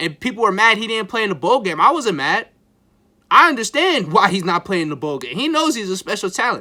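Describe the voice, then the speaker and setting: Raising and projecting his high voice, a man talks at a fairly quick pace in a bright, sharp, animated tone with very wide pitch swings, on a very clean recording with a silent background. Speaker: sports YouTuber, football fan. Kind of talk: casual sports commentary monologue. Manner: animated, excitable; halting, repeats words.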